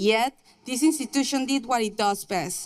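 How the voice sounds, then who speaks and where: The speaker has a Mexican accent, a moderate pace and lively intonation. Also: woman. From Mexico. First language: Spanish. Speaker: nursing graduate. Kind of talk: commencement speech. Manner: formal.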